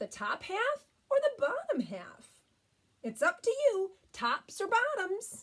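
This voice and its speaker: In a put-on character voice, the speaker projects loudly at a fairly slow pace with very wide pitch swings. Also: woman, extremely high pitch for a woman. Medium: read story. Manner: persuasive, cheerful.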